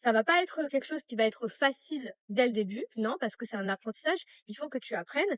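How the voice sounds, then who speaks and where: Very fast and lively in intonation, a woman's high-pitched voice comes through dry and close with no echo. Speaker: online coach for women. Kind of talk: casual vlog talk to followers. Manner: animated, conversational with frequent fillers.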